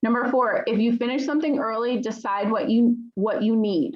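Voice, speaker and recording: A woman's somewhat breathy, fairly high voice at a moderate pace with ordinary pitch variation. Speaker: teacher. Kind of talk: lecture.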